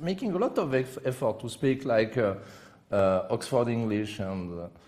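A man speaks with a strong French accent at a moderate pace. His pitch swings very widely. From France. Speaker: chess commentator. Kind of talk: live commentary. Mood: joking, playful anecdote. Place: studio. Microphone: headset.

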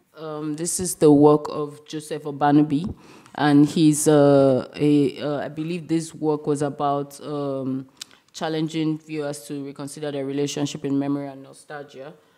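Very deep and low, a woman's voice has a dark, mellow tone. She speaks at a very slow pace in a monotone, flat intonation. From Nigeria. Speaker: curator; speaker. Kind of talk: lecture. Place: hall.

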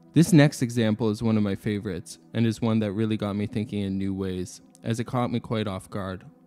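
There is music in the background. A man with a fairly low pitch talks at a fairly quick pace. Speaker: philosophy video narrator. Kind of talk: educational narration.

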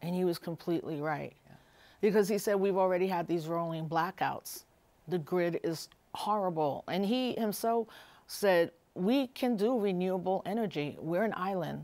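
A dark, mellow tone with ordinary pitch variation. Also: woman. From New York, Puerto Rican family. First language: Spanish. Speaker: activist and scholar. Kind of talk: interview conversation. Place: studio. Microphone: lapel.

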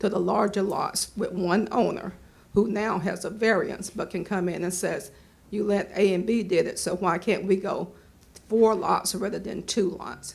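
A woman's somewhat breathy voice at a moderate pace, with monotone, flat intonation. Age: 70s. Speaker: resident speaking at public comment. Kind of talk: public comment at planning board meeting.

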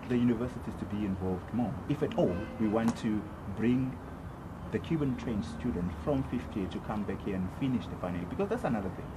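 The pace is fairly quick. Noticeable background noise runs underneath. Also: man. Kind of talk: interview answer. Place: open country. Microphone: camera far.

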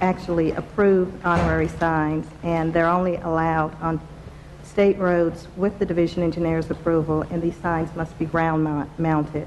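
Against light background noise, a woman speaks in a fairly low voice with monotone, flat intonation. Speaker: presenter. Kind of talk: formal presentation to committee. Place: meeting room. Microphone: podium.

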